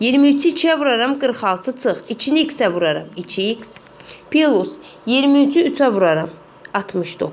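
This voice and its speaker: Very slow delivery with very wide pitch swings over noticeable background noise. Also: woman. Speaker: math teacher. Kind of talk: tutorial.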